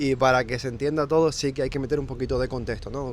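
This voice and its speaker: Here a man with a Canarian accent speaks at a fairly high pitch. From Canary Islands, Fuerteventura. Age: 20s. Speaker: remote sales closer. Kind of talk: interview.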